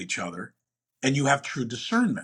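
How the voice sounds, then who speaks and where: A man's fairly high-pitched voice with vocal fry. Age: 60s. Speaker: entrepreneur and investor. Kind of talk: interview.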